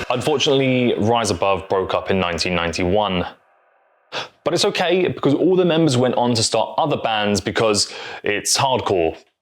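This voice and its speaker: With a British accent, a man talks at a fairly quick pace, and his pitch swings very widely. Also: medium pitch for a man, very even loudness. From Britain. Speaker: music YouTuber. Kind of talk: scripted narration. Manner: casual, humorous asides.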